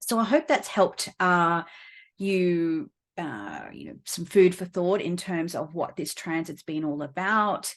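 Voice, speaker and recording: In an Australian accent, a woman speaks at a fairly slow pace with a fairly low pitch, ordinary pitch variation and big swings in loudness over a quiet background. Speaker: astrologer and astrology teacher. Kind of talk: casual explanatory video talk to camera; course promotion. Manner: many fillers (um, uh, you know).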